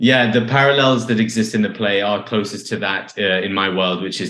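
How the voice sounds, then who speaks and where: In a London accent, a man with a fairly low pitch talks at a fairly quick pace in a monotone, flat intonation, with audible room echo. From London, England. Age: 30s. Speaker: playwright. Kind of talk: interview conversation.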